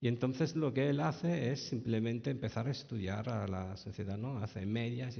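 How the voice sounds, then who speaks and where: A somewhat breathy man with an Italian accent, medium in pitch, at a moderate pace with ordinary pitch variation. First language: Italian (speaking Spanish). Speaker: author. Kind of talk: talk at a public book event. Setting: library event with audience. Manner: halting, many fillers and restarts.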